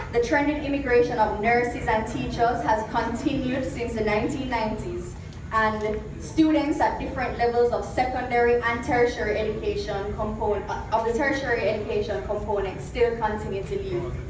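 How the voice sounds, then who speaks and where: Amid noticeable background noise and audible room echo, a woman with a fairly high voice talks at a moderate pace with ordinary pitch variation and hardly any pauses. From Jamaica. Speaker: symposium moderator. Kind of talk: prepared speech. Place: hall. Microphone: camera far.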